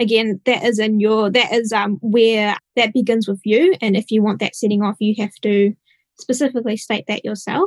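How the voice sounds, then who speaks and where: A woman with an unremarkable speaking voice, fairly high in pitch, at a moderate pace with fairly even intonation, in a dry, close sound with no echo. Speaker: software engineer. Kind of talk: technical panel discussion.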